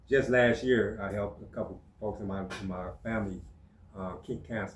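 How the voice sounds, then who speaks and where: A man's fairly low, somewhat breathy voice, fairly quick and fairly even in intonation, with audible room echo. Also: big swings in loudness. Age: 60s. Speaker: natural healer. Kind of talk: casual chat. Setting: podcast studio.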